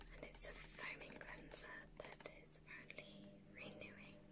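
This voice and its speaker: The voice is soft-spoken and whispering. It moves at a moderate pace. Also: woman. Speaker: beauty vlogger. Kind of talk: casual product review chat. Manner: soft ASMR whisper. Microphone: phone near.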